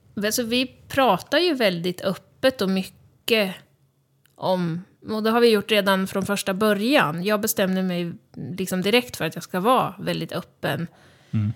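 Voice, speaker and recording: In an ordinary speaking voice, a woman talks fairly slowly at a medium pitch with ordinary pitch variation. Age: 30s. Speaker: cancer patient and podcaster. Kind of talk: casual interview. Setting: studio.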